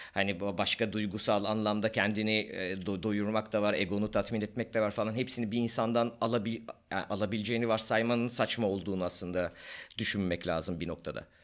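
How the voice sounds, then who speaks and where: A man with an ordinary speaking voice talks at a fairly quick pace with fairly even intonation. The recording is very clean and the background silent. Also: fairly low pitch for a man. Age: 40s. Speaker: podcast co-host, doctor. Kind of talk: casual chat.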